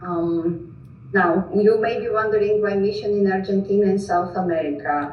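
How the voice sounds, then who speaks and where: In a room with audible echo and noticeable background noise, a woman speaks at medium pitch and a moderate pace with ordinary pitch variation. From Greece. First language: Greek, Russian and Georgian. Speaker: missionary. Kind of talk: presentation.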